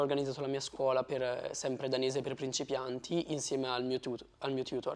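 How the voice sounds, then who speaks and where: Here is a man with a plain, everyday voice, pitched fairly high. He talks at a fairly quick pace with hardly any pauses. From Italy. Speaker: former exchange student. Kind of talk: interview. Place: studio. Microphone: lapel.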